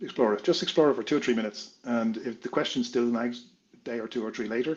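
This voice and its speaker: Speaking very fast, a man with an Irish accent uses a medium pitch. His pitch varies in an ordinary way. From Ireland. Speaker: consultant and entrepreneur. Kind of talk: interview.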